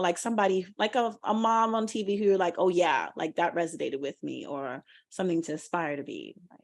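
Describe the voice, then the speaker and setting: A woman's bright, sharp voice with very wide pitch swings. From Trinidad. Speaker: podcast co-host, actor. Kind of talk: casual chat. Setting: video call.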